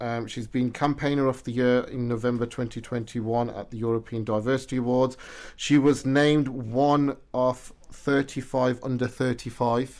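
A man with a British accent, medium pitch, fairly even intonation and a fairly slow pace. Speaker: radio show and podcast host. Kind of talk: interview. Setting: studio.

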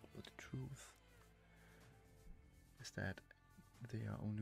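The sound is dry with no echo, with music in the background. A man speaks at a fairly low pitch with ordinary pitch variation. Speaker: game streamer. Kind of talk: casual talk to camera. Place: home room. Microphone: studio mic.

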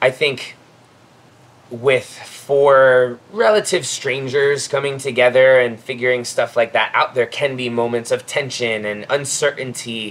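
A man speaks at a fairly slow pace with a General American accent. His intonation stays fairly even. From Florida. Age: 30s. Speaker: CrossFit athlete. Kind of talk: casual chat. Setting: outdoors. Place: garden.

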